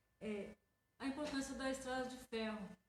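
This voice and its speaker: Somewhat breathy speech is heard. It comes from a woman. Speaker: radio host. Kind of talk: radio interview host.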